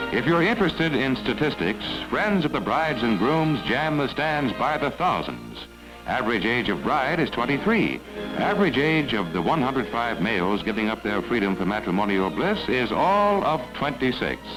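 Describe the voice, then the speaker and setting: Music runs in the background as a man talks at a moderate pace. His pitch swings very widely while his loudness stays very even. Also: medium pitch for a man. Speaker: newsreel narrator. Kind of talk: vintage newsreel narration. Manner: wry, humorous.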